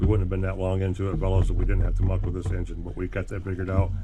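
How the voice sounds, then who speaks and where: A man with a very deep, low pitch races along very fast in a monotone, flat intonation, his dark, mellow tone somewhat breathy. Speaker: RC hobby YouTuber. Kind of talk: casual workshop vlog. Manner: casual, rambling.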